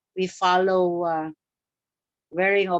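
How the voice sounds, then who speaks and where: A woman talks at a very slow pace in a medium pitch with monotone, flat intonation, and the sound is dry and close with no echo. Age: 60s. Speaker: educator. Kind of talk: webinar talk. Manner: halting.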